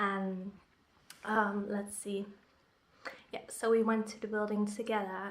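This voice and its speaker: A woman with a Dutch accent, monotone and flat in intonation. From Netherlands. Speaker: vlogger. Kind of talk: vlog.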